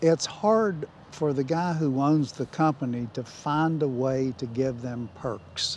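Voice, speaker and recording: A man speaks at a very slow pace with hardly any pauses. His pitch is fairly high. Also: ordinary pitch variation. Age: 70s. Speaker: company grill master, former sales manager. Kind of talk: interview monologue.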